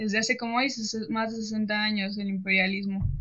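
A woman with a plain, everyday voice and a fairly high pitch speaks at a moderate pace. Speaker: co-host. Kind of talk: interview. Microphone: audio problems.

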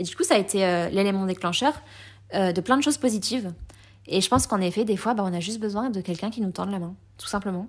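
On a very clean recording with a silent background, a woman talks at a very fast pace. She has a medium pitch and ordinary pitch variation. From France (came from Colombia at age 3). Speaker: podcast guest. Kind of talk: casual chat.

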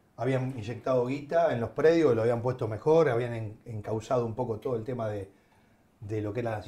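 Somewhat breathy and dark, mellow in tone, a man's voice moves with ordinary pitch variation. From Argentina, Avellaneda (Buenos Aires). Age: 50s. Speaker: former football club director. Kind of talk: casual chat.

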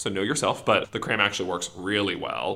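A man with an American accent, a bright, sharp tone and a fairly quick pace. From US Pacific Northwest, rural Washington State. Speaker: law student. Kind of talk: interview. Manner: fast-paced.

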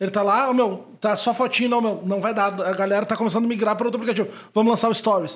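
Very fast and with hardly any pauses, a man talks at a high pitch, his intonation fairly even and his loudness very even. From Brazil, Porto Alegre. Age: 30s. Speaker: nightlife event producer. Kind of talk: casual chat.

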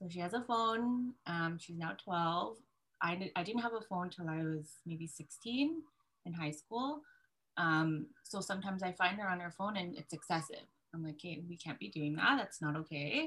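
With a plain, everyday voice, a woman speaks at a moderate pace, her fairly low pitch carried by lively intonation. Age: 30s. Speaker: graphic designer, single mother. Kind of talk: casual chat.

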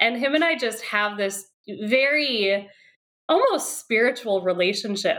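Using lively intonation, a woman with an American accent and an unremarkable speaking voice talks at a fairly high pitch and a fairly slow pace. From Wisconsin. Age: 30s. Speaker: parent. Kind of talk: casual chat.

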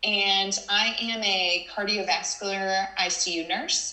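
A woman of medium pitch speaks very slowly in a Southern US accent, with audible room echo and noticeable background noise. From Texas (Houston). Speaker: nurse. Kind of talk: interview.

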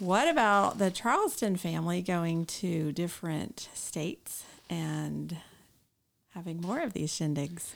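At a fairly slow pace, a woman speaks on a very clean recording with a silent background. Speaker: guest, camp attendee. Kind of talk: casual chat.

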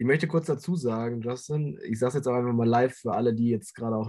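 At a very fast pace, a man talks with a dark, mellow tone. His pitch is medium, with ordinary pitch variation. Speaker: football podcast co-host. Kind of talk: casual chat. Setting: video call.

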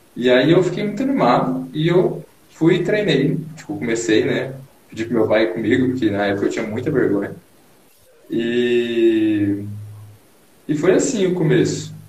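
Amid noticeable background noise and audible room echo, a man speaks at a fairly slow pace with long, frequent pauses and very wide pitch swings. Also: medium pitch for a man. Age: 20s. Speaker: engineering student and bodybuilder. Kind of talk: casual interview on live stream. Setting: Instagram live video call.

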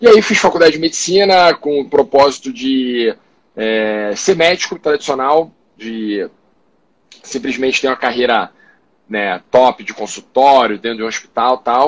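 Here a man speaks at a fairly slow pace with a medium pitch and lively intonation. He has a plain, everyday voice. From Rio de Janeiro, Brazil. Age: 30s. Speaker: doctor and startup founder. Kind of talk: casual interview livestream. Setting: online live stream.

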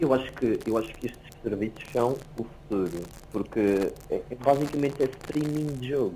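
At a moderate pace, a man speaks in a plain, everyday voice at medium pitch with ordinary pitch variation. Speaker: podcast host. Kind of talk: casual chat.

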